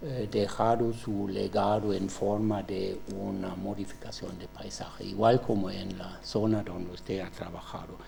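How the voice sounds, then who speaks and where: A man with a German accent speaks at a fairly slow pace with hardly any pauses, in a monotone, flat intonation. Noticeable background noise sits behind him. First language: German (speaking Spanish). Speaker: professor, examiner. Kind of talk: doctoral examination questioning. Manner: halting, with many fillers.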